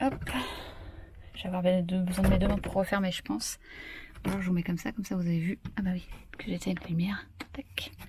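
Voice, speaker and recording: A soft-spoken woman talks at a fairly quick pace with long, frequent pauses over noticeable background noise. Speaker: vlogger and author. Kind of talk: casual vlog tour. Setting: holiday rental, indoors and garden.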